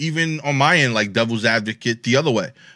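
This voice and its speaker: Bright, sharp tone from a man at a moderate pace, ordinary pitch variation, very clean recording with a silent background. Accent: New York. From New York. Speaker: comedian. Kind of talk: casual chat.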